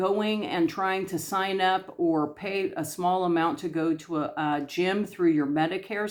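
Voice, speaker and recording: A woman at medium pitch and a fairly slow pace, ordinary pitch variation, very clean recording with a silent background. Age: 60s. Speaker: YouTube vlogger. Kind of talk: casual inspirational talk to camera. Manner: hesitant, many fillers.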